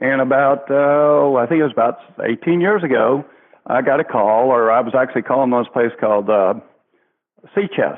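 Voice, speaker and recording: A man with a Southern US accent talks at a moderate pace and medium pitch, with ordinary pitch variation and very even loudness. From US South. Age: 60s. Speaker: children's entertainer in pirate costume. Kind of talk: interview.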